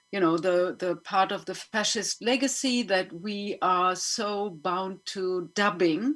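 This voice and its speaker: With a German accent and ordinary pitch variation, the speaker goes at a very slow pace with hardly any pauses. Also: woman, medium pitch for a woman. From Germany. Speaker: panel moderator and filmmaker. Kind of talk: panel discussion. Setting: online webinar.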